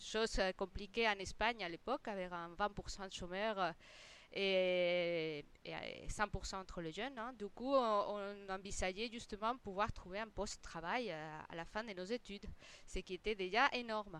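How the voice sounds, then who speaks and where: A woman speaks with a Spanish accent at medium pitch. Her pace is fairly slow. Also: ordinary pitch variation. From Spain. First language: Spanish (speaking French). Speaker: interior designer. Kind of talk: interview. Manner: halting, many repetitions.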